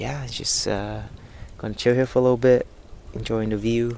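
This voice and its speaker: In a dry sound with no echo and light background noise, a man talks at a moderate pace with a fairly low pitch and ordinary pitch variation. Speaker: vlogger. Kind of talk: casual vlog chat. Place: waterside. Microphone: lapel.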